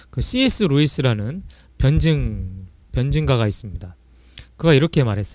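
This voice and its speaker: There is audible room echo as a man speaks at medium pitch with very wide pitch swings. His pauses are long and frequent. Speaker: church teacher. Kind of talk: lecture. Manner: fast.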